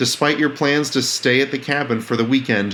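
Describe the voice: The clip contains plain reading aloud. Nothing else is layered on.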